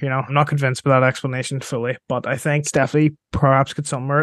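A man with a Northern Irish accent speaks at a very fast pace. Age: 20s. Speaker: podcast host. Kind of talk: interview.

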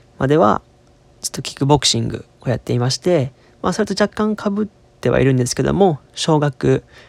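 Fairly quick and lively in intonation, a man speaks at a fairly high pitch in a dry, close sound with no echo. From Osaka, Kansai. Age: 20s. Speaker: podcast host, university student. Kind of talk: casual solo monologue. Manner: halting, many fillers.

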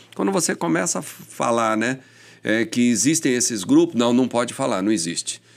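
A man at medium pitch, an ordinary speaking voice, lively intonation and a fairly quick pace in a very clean recording with a silent background. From São Paulo, Brazil. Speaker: police chief. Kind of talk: casual interview chat. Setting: studio.

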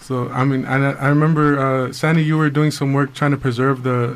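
This man talks at a moderate pace in a medium pitch. His intonation is monotone and flat, with noticeable background noise behind him. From Mexico, not Oaxaca. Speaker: radio co-host. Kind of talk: radio interview.

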